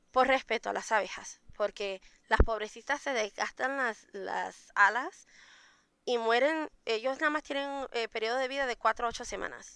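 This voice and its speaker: A woman speaks in a high pitch with a bright, sharp tone and ordinary pitch variation. The sound is dry and close, with no echo. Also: moderate pace, very clean recording, silent background. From Puerto Rico. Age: 30s. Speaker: mead maker. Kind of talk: interview.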